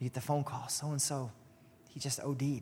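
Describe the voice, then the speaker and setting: A man is talking, pitched fairly high. There is a somewhat breathy quality to his voice. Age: 30s. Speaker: ministry leader and preacher. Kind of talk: sermon.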